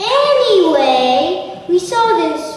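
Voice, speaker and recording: A put-on character voice speaks at a high pitch. Strong echo surrounds it, with light background noise. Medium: stage play.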